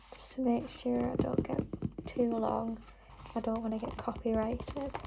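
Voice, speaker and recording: A woman whispers softly, her volume rising and falling sharply over noticeable background noise. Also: moderate pace. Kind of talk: ASMR reading and book tapping. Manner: whispered, soft-spoken.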